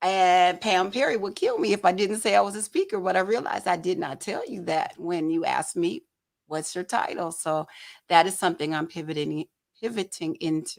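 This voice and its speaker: A woman speaks with a Southern accent at a medium pitch. Her pace is fairly quick, and her pitch varies in an ordinary way. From Detroit, Michigan (Southwest Detroit). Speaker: photojournalist and talk show host. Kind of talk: casual interview chat.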